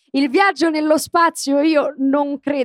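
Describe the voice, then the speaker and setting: A woman speaks in a Roman accent, the sound dry and close with no echo. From Rome (Garbatella). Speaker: voice actress and comedian. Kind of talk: casual chat. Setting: stage with audience.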